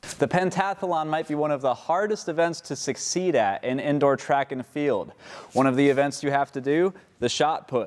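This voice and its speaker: A man with a plain, everyday voice speaks at a moderate pace, his fairly high pitch showing ordinary pitch variation. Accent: American. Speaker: college journalism student, TV reporter and anchor. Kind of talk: TV news reporter package narration.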